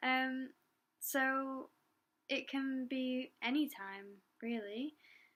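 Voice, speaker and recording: A woman's high-pitched voice, very slow and fairly even in intonation. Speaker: doula. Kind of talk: casual Q&A talk to camera. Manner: hesitant, many fillers; quiet, trying to talk louder.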